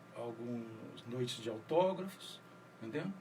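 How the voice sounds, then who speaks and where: A man varies his pitch in an ordinary way amid audible room echo and noticeable background noise. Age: 60s. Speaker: writer and poet. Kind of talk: radio interview. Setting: radio studio.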